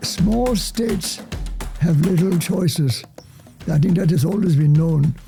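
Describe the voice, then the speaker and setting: Music plays in the background as a man with a high voice speaks fairly slowly, with long, frequent pauses and very even loudness. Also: ordinary pitch variation. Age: 80s+. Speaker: historian. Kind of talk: interview answer. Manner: polite, precise articulation.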